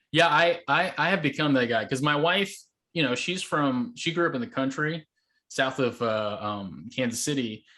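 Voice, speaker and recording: Against a quiet background, a man with an American accent talks at a moderate pace in a bright, sharp tone, his fairly high pitch moving with lively intonation. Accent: sounds like an ordinary American. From Taiwan (born in Mizoram, India). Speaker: podcast guest, immigrant. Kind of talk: casual interview chat.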